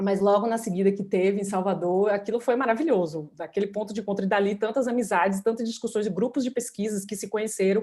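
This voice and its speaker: A woman with a dark, mellow tone speaks at a fairly quick pace. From Bahia, Brazil. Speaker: law professor, moderator. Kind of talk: panel moderation. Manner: halting.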